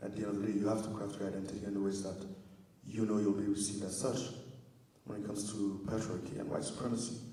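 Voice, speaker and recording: Noticeable background noise and audible room echo surround a man speaking very fast. His fairly low voice stays monotone and flat. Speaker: spoken word performer. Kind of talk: spoken word performance.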